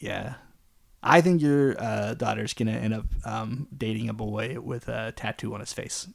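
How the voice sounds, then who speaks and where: With a Canadian accent, a man talks in an ordinary speaking voice at medium pitch and a moderate pace, his pitch varying in an ordinary way. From Canada. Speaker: podcast co-host, father. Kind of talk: casual chat.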